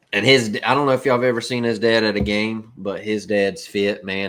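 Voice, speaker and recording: Fairly low male voice with a Southern US accent and ordinary pitch variation, in a very clean recording with a silent background. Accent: country Southern. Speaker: podcast co-host. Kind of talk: casual chat.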